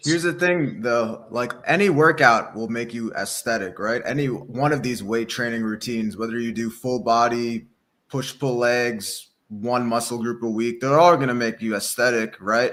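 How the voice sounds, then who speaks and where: An unremarkable speaking voice holds a moderate tempo, its pitch varying in an ordinary way. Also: man, medium pitch for a man. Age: 30s. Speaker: fitness and dating coach. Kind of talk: casual chat. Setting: livestream.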